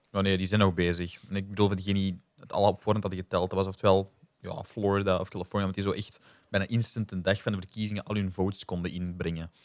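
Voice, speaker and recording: A man with a Flemish accent speaks at a very fast pace. His fairly low voice stays monotone and flat. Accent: Flemish Dutch. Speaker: podcast co-host. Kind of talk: casual chat.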